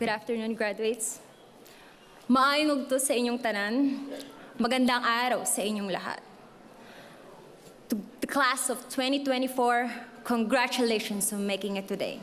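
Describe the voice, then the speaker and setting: A woman's high-pitched voice in a strong Filipino accent, at a moderate pace with fairly even intonation, long, frequent pauses and audible room echo. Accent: thick Filipino. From Philippines. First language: Filipino (Cebuano/Tagalog). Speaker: graduating student speaker. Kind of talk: commencement speech. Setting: stage with audience.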